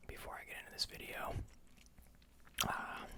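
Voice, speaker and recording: A relaxed, whispered voice. Background noise is noticeable. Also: man. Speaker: ASMR creator and filmmaker. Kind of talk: casual talk to camera. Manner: whispered, relaxed, chewing gum.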